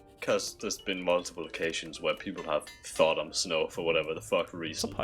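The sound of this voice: A voice moves along fairly quickly with music in the background.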